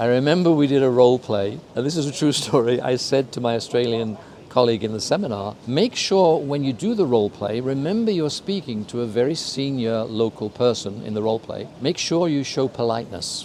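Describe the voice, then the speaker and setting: A man with a British accent talks at a fairly quick pace in a medium pitch, with lively intonation and hardly any pauses. Noticeable background noise runs underneath. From UK. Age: 70s. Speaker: intercultural consultant. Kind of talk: interview.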